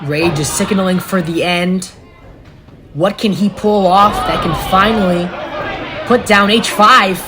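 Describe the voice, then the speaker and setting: A woman speaks at a fairly slow pace with long, frequent pauses and ordinary pitch variation, over noticeable background noise. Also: medium pitch for a woman. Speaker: wrestling commentator. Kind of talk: live wrestling play-by-play commentary.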